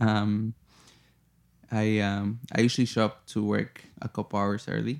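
With an American accent, a man of fairly low pitch speaks at a fairly slow pace in a flat monotone, with long, frequent pauses, in a very clean recording with a silent background. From US Midwest, Chicago. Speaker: bartender. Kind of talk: interview. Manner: halting, many fillers.

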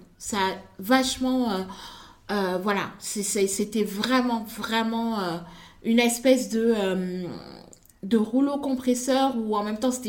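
Speech comes at a fairly slow pace with fairly even intonation and audible room echo. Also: woman. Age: 30s. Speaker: fashion designer and content creator. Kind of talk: interview.

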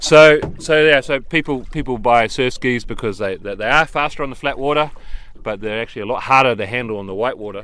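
Over noticeable background noise, a man with a New Zealand accent speaks at a fairly quick pace and medium pitch, with ordinary pitch variation. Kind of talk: casual interview.

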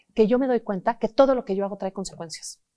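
In a very clean recording with a silent background, a woman with a Mexican accent speaks at a medium pitch in an animated tone with lively intonation. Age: 40s. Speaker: psychotherapist. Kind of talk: interview.

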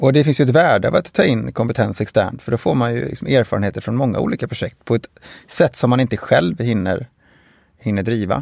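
With lively intonation, a man talks fairly quickly. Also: medium pitch for a man, dry, close sound with no echo. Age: 40s. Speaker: construction company CEO. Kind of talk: interview. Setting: studio. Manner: halting.

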